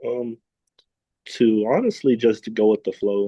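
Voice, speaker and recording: A man talks softly at a fairly slow pace. His pitch is medium. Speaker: student panelist, aspiring teacher. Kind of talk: panel discussion. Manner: soft-spoken; quiet.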